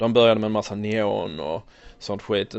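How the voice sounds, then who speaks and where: At a moderate pace, a man with a normal speaking voice talks at a fairly low pitch with fairly even intonation. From born in USA, raised in Sweden. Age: 30s. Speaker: toy collector. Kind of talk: casual interview. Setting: in a shop.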